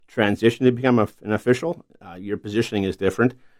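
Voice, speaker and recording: A man with a Canadian prairie accent at a very fast pace, ordinary pitch variation, a dry, close sound with no echo, and a very clean recording with a silent background. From eastern Manitoba, Canada. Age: 50s. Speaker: hockey referee. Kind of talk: interview.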